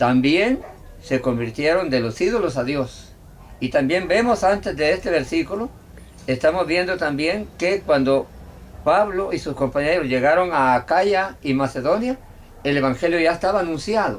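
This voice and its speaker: At a moderate pace, a man talks in a high pitch. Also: lively intonation. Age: 70s. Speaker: evangelist preacher. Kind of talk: bible study conversation. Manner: halting.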